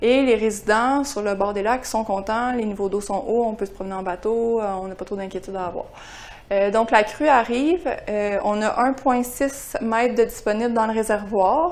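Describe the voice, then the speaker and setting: At a moderate pace, a woman with a Quebec accent talks at a fairly high pitch with ordinary pitch variation. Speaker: climate services scientist. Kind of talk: seminar presentation. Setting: seminar room with audience. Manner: hesitant, frequent euh.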